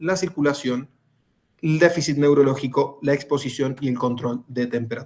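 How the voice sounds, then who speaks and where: This man's pitch is fairly high. It varies in an ordinary way. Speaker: rescue and first aid instructor. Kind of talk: lecture. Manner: fast.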